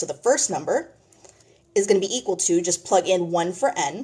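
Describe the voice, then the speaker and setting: In an ordinary speaking voice, a woman talks at a medium pitch. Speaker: math tutor. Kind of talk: tutorial.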